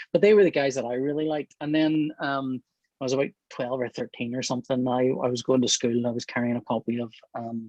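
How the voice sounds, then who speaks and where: A Northern Irish accent at a fairly quick pace, with fairly even intonation and a dry, close sound with no echo. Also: man. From Northern Ireland. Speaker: comic book artist. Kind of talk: interview. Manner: hesitant, many fillers.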